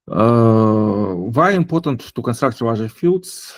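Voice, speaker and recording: A man with a non-native accent speaks at a medium pitch and a fairly slow pace. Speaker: blockchain developer giving a lecture. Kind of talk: lecture. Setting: online session. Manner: halting, many fillers.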